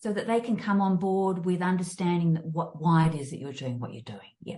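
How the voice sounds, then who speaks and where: Speaking with an Australian accent, the woman has a fairly low pitch, a somewhat breathy, dark, mellow tone and ordinary pitch variation. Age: 60s. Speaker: fitness and mindfulness coach. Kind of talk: interview. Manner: halting, many fillers and restarts.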